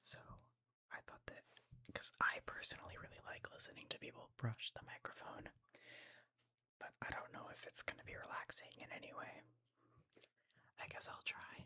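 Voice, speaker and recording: Whispering with long, frequent pauses. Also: moderate pace. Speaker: ASMR channel creator. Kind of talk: ASMR gaming ramble to camera. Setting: home studio, desktop microphone. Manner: whispered, soft, casual.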